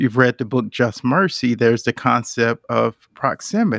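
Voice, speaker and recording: The recording is very clean with a silent background and a dry, close sound with no echo. A man speaks at medium pitch with ordinary pitch variation. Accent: American. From Charlotte, North Carolina. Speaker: executive. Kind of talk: panel discussion. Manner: halting.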